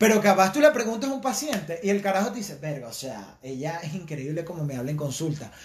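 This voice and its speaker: Over noticeable background noise, an animated man talks at a very fast pace and high pitch, with very wide pitch swings and big swings in loudness. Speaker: podcast co-host. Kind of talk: casual chat.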